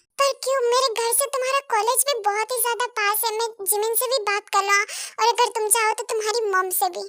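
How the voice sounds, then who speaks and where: A woman puts on a character voice and speaks at a fairly quick pace. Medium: audio drama. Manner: assured, commanding.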